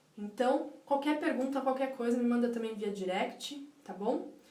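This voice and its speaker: A woman's fairly high voice at a moderate pace, with fairly even intonation, audible room echo and noticeable background noise. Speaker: life coach. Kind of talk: live stream talk. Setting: live stream.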